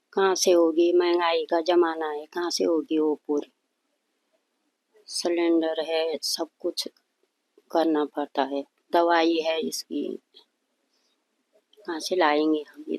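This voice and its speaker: Long, frequent pauses in a woman's fairly low, monotone, flat voice, dry and close with no echo. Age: 60s. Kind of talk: interview. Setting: at her home.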